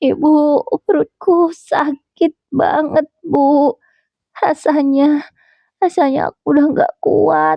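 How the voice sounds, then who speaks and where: A hoarse, put-on character voice drags along at a very slow pace. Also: woman, high pitch for a woman. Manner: gasping, in pain.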